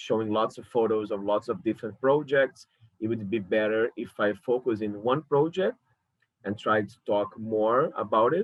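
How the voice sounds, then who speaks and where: Medium in pitch, a man speaks with a Brazilian Portuguese accent. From Brazil, Rio de Janeiro. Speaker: curator. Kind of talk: lecture. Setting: alone at home talking to a camera. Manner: halting.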